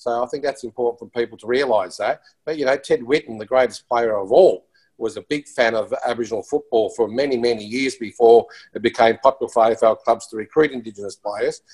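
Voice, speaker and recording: With an Australian accent, a man speaks at medium pitch and fairly even intonation in a dry, close sound with no echo. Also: fairly quick pace. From Melbourne, Australia. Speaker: musician and broadcaster. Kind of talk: casual interview.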